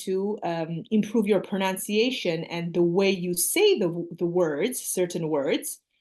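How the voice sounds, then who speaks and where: A woman at a moderate pace with ordinary pitch variation, over a quiet background. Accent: Armenian. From Armenia. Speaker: English teacher. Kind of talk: casual chat.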